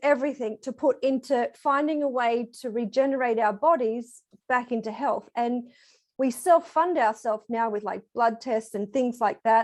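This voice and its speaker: Fairly slow speech with an Australian accent. The background is quiet. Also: woman. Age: 40s. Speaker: program participant giving testimonial. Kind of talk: testimony.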